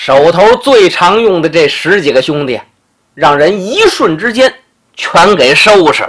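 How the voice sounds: Here is a natural reading voice. The background is quiet.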